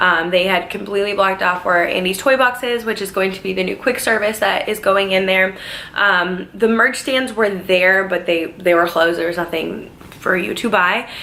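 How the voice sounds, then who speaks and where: A woman speaks at a moderate pace and a medium pitch, her intonation fairly even, with noticeable background noise and audible room echo. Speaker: theme park worker and vlogger. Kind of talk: casual vlog. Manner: chatty, many fillers.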